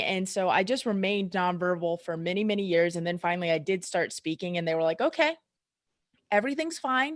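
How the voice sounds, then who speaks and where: A woman with a slight Southern US accent speaks at a medium pitch and a fairly quick pace. The recording is very clean, with a silent background. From US South. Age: 30s. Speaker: chiropractor. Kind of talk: casual chat.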